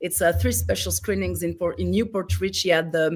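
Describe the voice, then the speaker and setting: A woman speaks in a Greek accent at a moderate pace. The recording is very clean, with a silent background. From France, raised in a Greek family. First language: French. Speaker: film director and writer. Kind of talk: interview. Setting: live stream. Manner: halting, many fillers.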